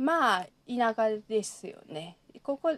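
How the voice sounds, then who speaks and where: Lively intonation marks this woman's fairly high voice with a Kansai accent. The sound is dry and close, without echo. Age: 30s. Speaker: anthropology doctoral student and literary translator. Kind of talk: casual chat.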